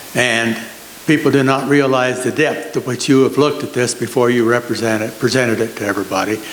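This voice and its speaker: Over noticeable background noise, a man with an American accent speaks at a fairly quick pace and medium pitch with fairly even intonation. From Nebraska, US Midwest. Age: 80s+. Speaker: retired farmer, resident. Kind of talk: public comment at meeting.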